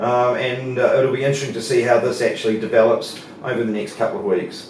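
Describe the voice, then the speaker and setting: Amid noticeable background noise and audible room echo, a man with a New Zealand accent speaks at a medium pitch. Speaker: market analyst. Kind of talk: market analysis presentation. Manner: hesitant, many fillers.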